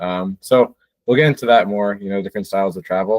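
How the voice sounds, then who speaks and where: With a New Jersey accent, a man talks at a fairly low pitch. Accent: American English (New Jersey). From New Jersey, US. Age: 20s. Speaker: podcast host. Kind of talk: casual chat.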